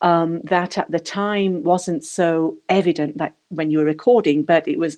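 Against a quiet background, a woman speaks in a dark, mellow tone, fairly low in pitch, with fairly even intonation. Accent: strong English. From England. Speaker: audiobook narrator. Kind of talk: interview.

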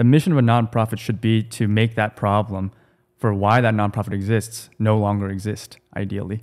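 Fairly low in pitch, a man talks at a fairly quick pace with monotone, flat intonation. The recording is very clean and the background silent. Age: 20s. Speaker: startup co-founder. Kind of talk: casual conversation.

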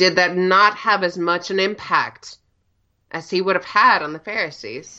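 A woman speaks in an ordinary speaking voice at a medium pitch. Her pace is moderate and her pitch varies in an ordinary way. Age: 20s. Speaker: church member guest. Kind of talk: casual chat.

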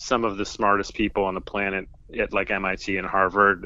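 In a Californian accent, a man speaks with a fairly low pitch. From US, Southern California (San Diego). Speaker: stand-up comedian. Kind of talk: casual interview.

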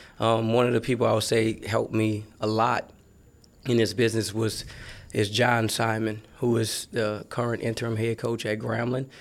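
Monotone and flat, a man's voice moves at a moderate pace. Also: medium pitch for a man. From New Orleans, Louisiana. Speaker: college football recruiting staffer. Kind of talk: casual interview. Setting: studio.

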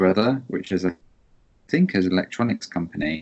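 A man speaks with a very deep, low pitch. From Newcastle, northern England. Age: 30s. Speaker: writer and curator. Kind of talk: casual chat.

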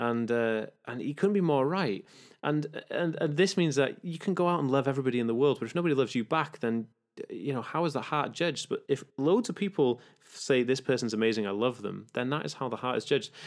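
A man's voice with a British accent and lively intonation. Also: fairly high pitch for a man, fairly quick pace, very clean recording, silent background. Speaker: author and spiritual movement founder. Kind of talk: casual interview. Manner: animated; fast talkative.

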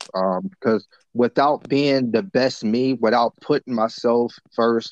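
This is an ordinary speaking voice from a man. He speaks at a medium pitch with ordinary pitch variation. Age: 30s. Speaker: motivational speaker and mentor. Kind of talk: casual chat.

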